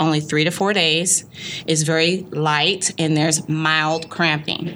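Through noticeable background noise, a woman speaks at a fairly slow pace with a very deep, low pitch and fairly even intonation. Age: 30s. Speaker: women's health business owner. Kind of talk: interview.

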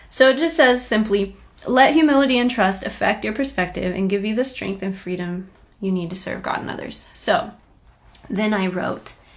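Noticeable background noise sits under a woman's medium-pitched voice. She speaks at a moderate pace with lively intonation. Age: 30s. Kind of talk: devotional monologue. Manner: casual, conversational.

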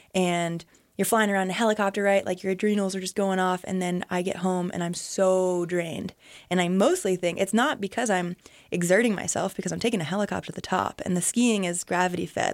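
A woman at medium pitch, very fast and with fairly even intonation, in a very clean recording with a silent background. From US East Coast (New England). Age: 20s. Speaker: professional skier. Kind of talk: casual interview. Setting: radio studio. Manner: loud.

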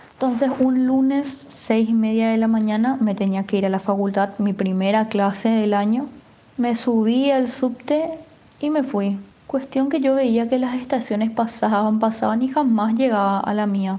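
Keeping her loudness very even, a woman speaks with fairly high pitch at a fairly slow pace. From Paraguay (Asunción). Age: 20s. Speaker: university student, migrant. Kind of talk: personal testimony. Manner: animated.

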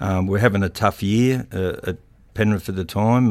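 Speaking with a rural Australian accent at a moderate pace, a man with a fairly low pitch comes through on a very clean recording with a silent background. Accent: broad rural Australian. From rural New South Wales, Australia. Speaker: retired rugby league player and coach. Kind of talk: interview. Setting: studio. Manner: halting, many fillers.

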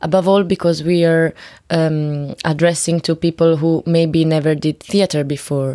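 With an Italian accent, a woman speaks at a fairly low pitch in a dark, mellow tone, using monotone, flat intonation, very even loudness and a moderate pace. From Italy, Florence. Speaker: theater educator. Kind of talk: interview. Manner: halting.

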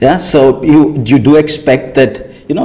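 Noticeable background noise sits under a man's fairly high-pitched voice. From India. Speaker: film director. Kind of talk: interview. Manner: halting.

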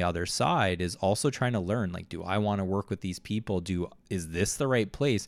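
The recording is very clean, with a silent background, as a man speaks at a moderate pace with a fairly low pitch. He has an unremarkable speaking voice with ordinary pitch variation. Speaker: podcast host. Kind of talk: casual chat. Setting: conference hotel room.

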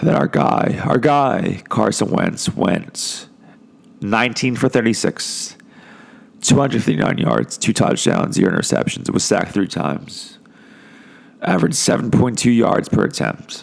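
A man speaks at medium pitch with vocal fry and very wide pitch swings. His loudness stays very even and his pace is moderate. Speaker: sports podcast host. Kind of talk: casual sports talk podcast. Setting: podcast recording.

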